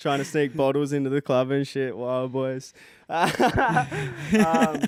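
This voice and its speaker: A man with an Australian accent speaks in a shaky voice at a fairly high pitch and a very slow pace, with ordinary pitch variation, over noticeable background noise. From Queensland, Australia. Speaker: rapper. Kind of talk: interview. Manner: shaky, nervous voice.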